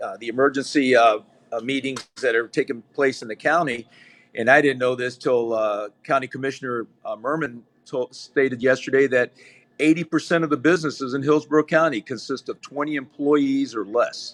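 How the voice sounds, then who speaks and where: In a normal speaking voice, a man of medium pitch talks at a fairly quick pace with fairly even intonation and a dry, close sound with no echo. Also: very clean recording, silent background. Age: 60s. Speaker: trial attorney. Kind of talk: casual interview chat.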